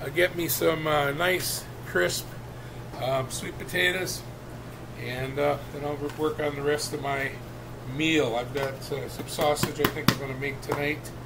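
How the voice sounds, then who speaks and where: A man talks at a moderate pace with ordinary pitch variation. Noticeable background noise runs underneath. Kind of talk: casual cooking tutorial. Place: kitchen. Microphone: webcam.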